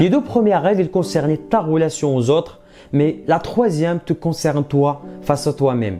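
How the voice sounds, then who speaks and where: A man with a non-native accent and fairly high pitch, animated in tone, with lively intonation at a moderate pace. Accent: foreign accent, non-native French. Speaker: maths tutor. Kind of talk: motivational tutorial.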